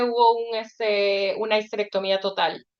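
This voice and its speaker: A woman speaks at a fairly slow pace. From Ecuador. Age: 40s. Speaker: author. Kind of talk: casual chat.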